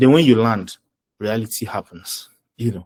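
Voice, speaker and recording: A man with a Nigerian accent speaks at a moderate pace. His pitch is fairly low, with ordinary variation. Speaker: finance professional and presenter. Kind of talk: webinar talk. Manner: animated.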